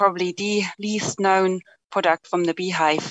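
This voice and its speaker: A woman with a German accent talks at a medium pitch with fairly even intonation. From Germany. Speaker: company director and apitherapy presenter. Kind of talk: conference presentation.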